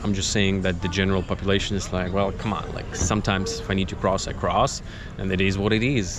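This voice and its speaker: A fairly low-pitched man with a Russian accent, talking at a very fast pace amid audible room echo and noticeable background noise. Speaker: travel vlogger. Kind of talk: casual vlog talk to camera. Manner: hesitant, many fillers.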